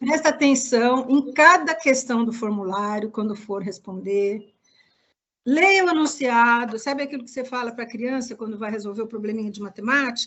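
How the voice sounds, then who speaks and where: Her voice sits high for a woman, with ordinary pitch variation, big swings in loudness and a moderate pace. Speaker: project evaluation consultant. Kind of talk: online workshop presentation. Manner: didactic, many fillers.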